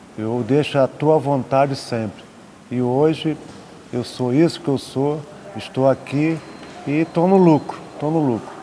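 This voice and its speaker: With long, frequent pauses, a man speaks in a fairly high pitch against noticeable background noise. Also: ordinary pitch variation, fairly slow pace. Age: 70s. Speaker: retired air force officer. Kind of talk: interview. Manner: emotional.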